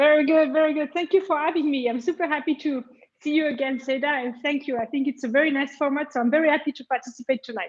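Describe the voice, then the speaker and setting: Pitched high, a woman talks very fast with fairly even intonation. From France. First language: French. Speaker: tech sales executive. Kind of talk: interview.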